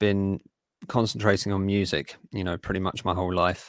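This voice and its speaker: In a very clean recording with a silent background and a dry, close sound with no echo, a man with a fairly low pitch speaks at a moderate pace with fairly even intonation. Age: 30s. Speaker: folk musician and writer. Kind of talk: interview. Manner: hesitant, many fillers.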